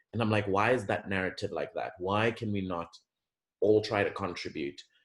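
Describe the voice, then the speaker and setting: A somewhat breathy voice with an American accent speaks at a moderate pace. The intonation is fairly even. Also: man. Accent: sounds American, per others. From Zambia, Lusaka. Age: 20s. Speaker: interview guest. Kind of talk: podcast interview.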